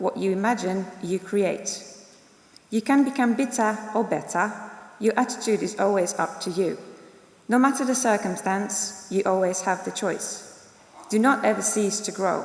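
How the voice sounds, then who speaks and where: A woman's medium-pitched voice with a non-native accent, at a moderate pace with ordinary pitch variation, amid audible room echo and noticeable background noise. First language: not English. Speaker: graduate giving student speech. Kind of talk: ceremonial speech. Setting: graduation ceremony in a concert hall. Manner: formal.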